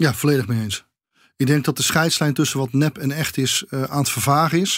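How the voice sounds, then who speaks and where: This man has a plain, everyday voice, fairly high in pitch with ordinary pitch variation. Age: 50s. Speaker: trendwatcher and author. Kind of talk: interview. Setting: studio.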